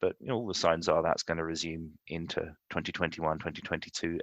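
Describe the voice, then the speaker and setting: Very deep and low in pitch, a man with a London accent speaks very fast in a bright, sharp tone, in a dry, close sound with no echo. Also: quiet background. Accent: London accent, noticeable. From London, England. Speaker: insurance executive. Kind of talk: podcast interview. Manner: measured, thoughtful with some hesitations.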